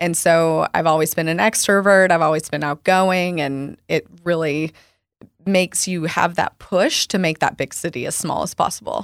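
Woman at a fairly low pitch and moderate pace, fairly even intonation, dry, close sound with no echo, very clean recording and silent background. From US South, rural Arkansas. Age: 30s. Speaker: wine shop owner. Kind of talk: interview conversation. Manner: soft-spoken; calm.

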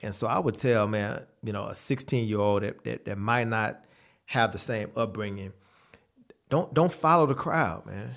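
On a very clean recording with a silent background, a man with an unremarkable speaking voice talks at a moderate pace, fairly low in pitch and with lively intonation. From Texas, San Antonio. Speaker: dietitian and gym owner. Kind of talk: interview.

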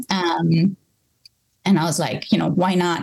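A woman speaks at a medium pitch, somewhat breathy. Her tone is dark and mellow. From India, Bangalore. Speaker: coffee roaster and business owner. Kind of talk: interview conversation.

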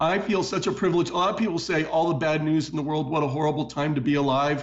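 This is a man with an ordinary speaking voice. His pitch sits fairly high, and his intonation stays fairly even. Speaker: political and economic commentator. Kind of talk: interview with news commentary. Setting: studio.

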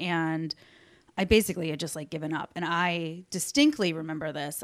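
In a very clean recording with a silent background, a woman with an American accent uses an unremarkable speaking voice, fairly low in pitch. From Alabama, later Chicago suburbs. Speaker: podcast guest. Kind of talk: casual chat.

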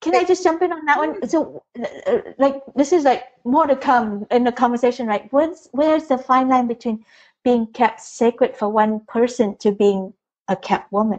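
With high pitch and lively intonation, a woman talks at a moderate pace. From Vietnam. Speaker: relationship coach and author. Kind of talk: interview conversation.

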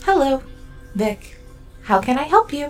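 Clear music plays in the background as a female-sounding put-on character voice speaks at a moderate pace in a high pitch. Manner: disappointed.

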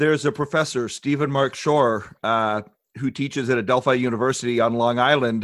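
A man's ordinary speaking voice at medium pitch, with a moderate pace and fairly even intonation, in a very clean recording with a silent background. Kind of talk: casual interview chat.

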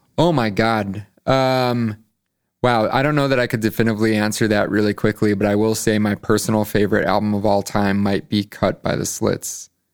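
In a normal speaking voice, a man with an American accent talks at a fairly quick pace. His pitch is fairly low, his intonation fairly even, and his loudness very even. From Chicago suburbs, Illinois. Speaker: concert promoter. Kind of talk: casual interview. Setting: studio.

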